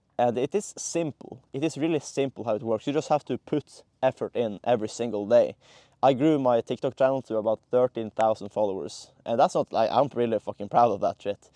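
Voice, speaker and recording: This man speaks with a non-native accent in a dark, mellow, medium-pitched voice with ordinary pitch variation. His pace is fairly quick, with hardly any pauses. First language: not English. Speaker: content creator. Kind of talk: casual monologue to camera. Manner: halting, many fillers and restarts.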